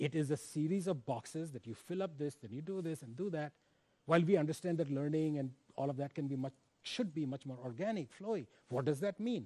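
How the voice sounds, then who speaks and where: This man talks at a fairly quick pace in a fairly high pitch with a dark, mellow tone. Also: lively intonation. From India. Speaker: education professor; speaker. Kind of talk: invited lecture; lecture. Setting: stage with audience. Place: stage.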